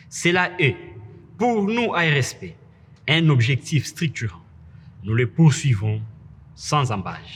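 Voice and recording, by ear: Slow and fairly bright in tone, a man's medium-pitched voice carries a slightly husky edge and big pitch swings.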